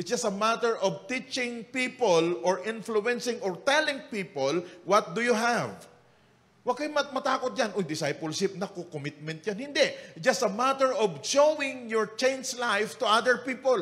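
Lively intonation from a man, moderate in pace. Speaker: lead pastor. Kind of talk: sermon. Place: church. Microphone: handheld.

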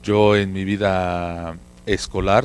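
Over light background noise, a man with a very deep, low pitch talks in fairly even intonation, the sound dry with no echo. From Mexico City. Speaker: market research consultant; guest. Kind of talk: casual chat. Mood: relaxed, reminiscing. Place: studio. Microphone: handheld.

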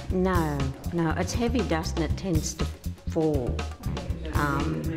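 With clear music in the background, a woman speaks at a very slow pace. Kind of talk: interview answer. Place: workshop.

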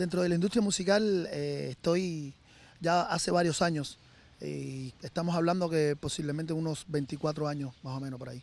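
A man with a fairly high pitch and ordinary pitch variation speaks at a moderate pace with big swings in loudness, in a dry sound with no echo. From Cuba. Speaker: musician. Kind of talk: interview. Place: garden. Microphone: handheld.

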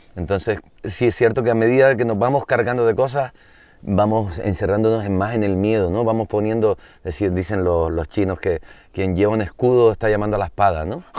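A man's fairly low, dark and mellow voice at a fairly quick pace, dry with no echo over a quiet background. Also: ordinary pitch variation. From Canary Islands. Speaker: singer-songwriter; interview guest. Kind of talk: casual chat. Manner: halting. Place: open country.

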